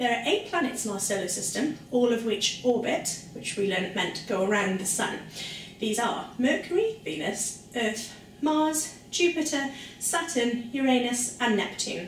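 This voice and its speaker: A woman with a fairly high pitch, upbeat tone, lively intonation and moderate pace, with audible room echo and light background noise. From South Wales. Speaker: science presenter for children. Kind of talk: educational lesson for children. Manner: upbeat, friendly. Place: kitchen. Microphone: camera far.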